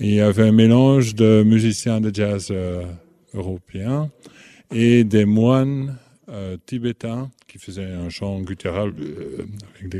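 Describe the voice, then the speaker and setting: A fairly low-pitched man with a dark, mellow tone speaks very slowly, with long, frequent pauses and fairly even intonation. His loudness swings widely, and the sound is dry and close with no echo. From Belgium. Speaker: musician. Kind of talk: interview.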